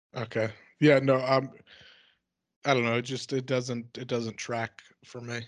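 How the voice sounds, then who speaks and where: At a fairly slow pace with long, frequent pauses, a man speaks in a medium pitch with monotone, flat intonation and big swings in loudness against a quiet background. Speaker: podcast co-host and comedian. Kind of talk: casual chat.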